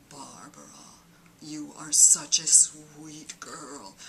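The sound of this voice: A raspy, put-on character voice at a middle pitch, delivered at a very slow pace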